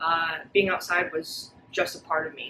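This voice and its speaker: A woman speaks with a New York State accent. Her voice sits fairly low in pitch. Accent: American (New York State). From upstate New York, US. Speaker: fitness coach. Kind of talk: personal testimony video. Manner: casual, with many fillers.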